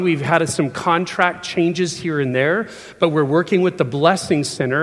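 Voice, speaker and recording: Against noticeable background noise, a man speaks in a fairly high pitch with ordinary pitch variation. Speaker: preacher. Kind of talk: sermon. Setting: church.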